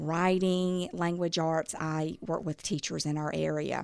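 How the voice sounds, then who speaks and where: A woman with an Alabama accent speaks at a very slow pace and a fairly low pitch. The recording is very clean, with a silent background. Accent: Southern US (Alabama). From US South, southern Alabama near Mobile. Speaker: mother and reading educator. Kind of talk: podcast interview.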